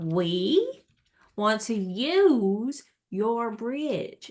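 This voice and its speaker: A female-sounding put-on character voice drawls at a fairly high pitch in a Southern US accent. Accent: Southern American. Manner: slow, drawling.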